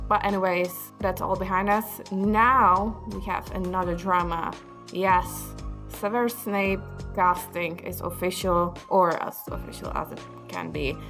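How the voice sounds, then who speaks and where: A woman talks at a fairly slow pace with a non-native accent, her volume rising and falling sharply. Music plays in the background. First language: not English. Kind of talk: casual opinion talk to camera.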